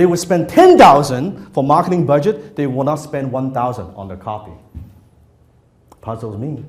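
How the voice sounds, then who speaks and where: The speaker talks at a moderate pace with a somewhat breathy voice and lively intonation, in audible room echo. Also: man. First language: not English. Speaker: copywriting trainer. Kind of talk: workshop lecture to live audience. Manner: conversational, interactive with audience.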